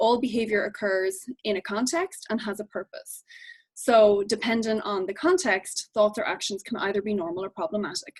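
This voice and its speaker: Recorded with a dry, close sound and no echo, a woman with an Irish accent speaks at a fairly high pitch with ordinary pitch variation. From Ireland. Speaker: behavior analyst. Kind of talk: lecture. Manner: fast.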